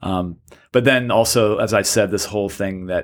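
A man at a moderate pace, fairly low in pitch with ordinary pitch variation and an unremarkable speaking voice. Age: 40s. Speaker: poet and high school teacher. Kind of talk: casual conversation.

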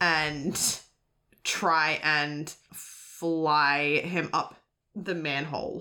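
A woman with an Australian accent speaks very slowly in a very deep, low voice with a bright, sharp tone. Her intonation is flat and monotone, and the recording is very clean with a silent background. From Sydney, Australia. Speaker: actual play roleplayer. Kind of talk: tabletop roleplay narration.

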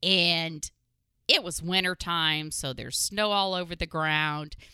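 In a very clean recording with a silent background, a woman speaks at a fairly slow pace in a bright, sharp tone, the sound dry and close with no echo. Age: 40s. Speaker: podcast host. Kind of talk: casual chat.

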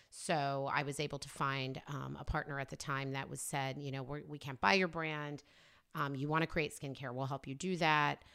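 With an American accent, a woman speaks at a moderate pace in a very deep, low voice with a bright, sharp tone. Her intonation is fairly even, and the recording is very clean with a silent background. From Oklahoma, US. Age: 40s. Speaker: skincare brand founder. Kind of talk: interview.

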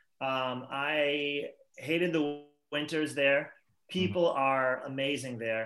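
A man with a Boston accent and fairly even intonation. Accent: Boston-area New England. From Massachusetts. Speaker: rock band singer. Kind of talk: casual interview chat. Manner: talkative, rambling.

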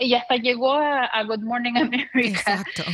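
In a plain, everyday voice, a woman speaks fairly slowly at a fairly high pitch with ordinary pitch variation, the sound dry and close with no echo. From Chile. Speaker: journalist and blogger. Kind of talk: interview conversation.

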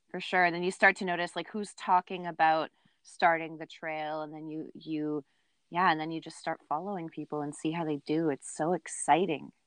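Speaking with a Canadian accent, a woman uses a fairly low pitch and monotone, flat intonation at a moderate pace, with big swings in loudness. The sound is dry and close with no echo over a quiet background. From Ontario, Canada. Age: 30s. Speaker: outdoor podcast host. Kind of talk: casual chat.

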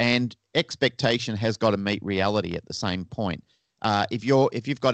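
A man with an Australian accent speaks at a fairly quick pace with fairly even intonation. The sound is dry and close with no echo, over a quiet background. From Australia, Melbourne. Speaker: dog trainer and pet resort manager. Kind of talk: interview.

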